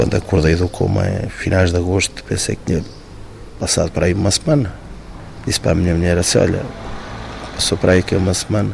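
Over noticeable background noise, a man with a very deep, low voice and ordinary pitch variation talks very fast, leaving long, frequent pauses. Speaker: firefighter, accident survivor. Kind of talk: interview testimony.

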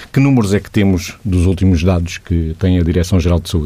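A man speaks in a dark, mellow tone. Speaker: radio host. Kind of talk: radio interview.

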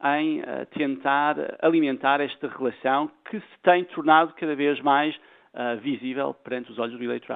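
A man speaks at a moderate pace with a fairly high pitch and a normal speaking voice. His loudness swings widely. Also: ordinary pitch variation. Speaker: political science professor. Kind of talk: radio interview.

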